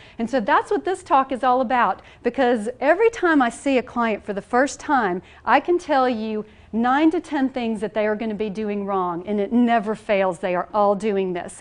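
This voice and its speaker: A woman's fairly high voice in a Southern US accent, lively in intonation, over a quiet background. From US South. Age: 40s. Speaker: nutrition coach. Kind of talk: presentation to an audience. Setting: church hall with audience. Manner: fast; animated.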